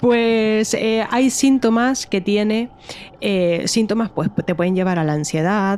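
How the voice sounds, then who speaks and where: A woman with a Canarian accent at a very slow pace, fairly high in pitch with ordinary pitch variation, her loudness very even against noticeable background noise. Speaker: true crime podcast co-host. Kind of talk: casual podcast chat.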